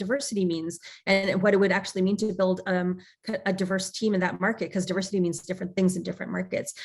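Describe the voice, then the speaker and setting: A woman is speaking. There's some breathiness in her voice. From Canada, Toronto. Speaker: tech executive. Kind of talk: interview. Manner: fast.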